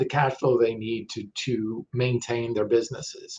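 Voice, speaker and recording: This speech has a moderate pace. The sound is somewhat breathy. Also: man. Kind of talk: promotional talk to camera. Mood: warm, upbeat. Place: home room. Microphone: webcam.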